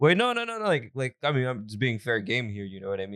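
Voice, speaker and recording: A man talks at a very fast pace in a playful tone. The recording is very clean and dry, with a silent background, close sound and no echo. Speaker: podcast host. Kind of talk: casual chat. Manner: playful, joking.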